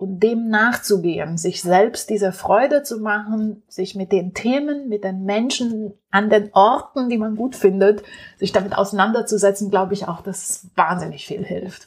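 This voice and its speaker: The speech goes at a fairly slow pace with ordinary pitch variation and hardly any pauses. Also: woman, medium pitch for a woman. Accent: Romanian. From Romania. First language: Romanian (speaking German). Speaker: entrepreneur. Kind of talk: interview. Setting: at home.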